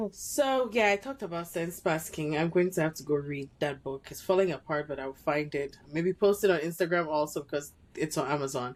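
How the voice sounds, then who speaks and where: Talking at a fairly quick pace with hardly any pauses, a woman with a strong Cameroonian accent has a very deep, low pitch and ordinary pitch variation. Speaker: podcast co-host. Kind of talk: casual podcast conversation.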